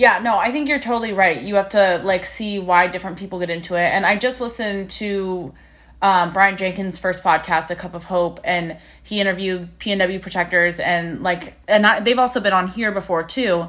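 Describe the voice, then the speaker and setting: With an unremarkable speaking voice, a woman of medium pitch speaks at a moderate pace with ordinary pitch variation. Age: 20s. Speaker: podcast host. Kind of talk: casual interview.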